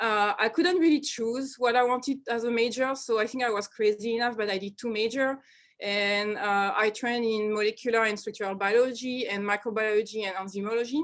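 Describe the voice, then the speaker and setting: A woman with a French accent speaks at a fairly quick pace, her fairly high pitch paired with fairly even intonation. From France, Normandy (Caen). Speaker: research scientist. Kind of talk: seminar talk. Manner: halting, many fillers.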